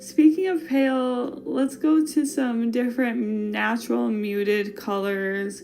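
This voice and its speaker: Over background music, a woman with a Wisconsin accent speaks at a very slow pace and fairly high pitch, with lively intonation and hardly any pauses. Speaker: fashion podcast host. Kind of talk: casual podcast monologue. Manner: animated.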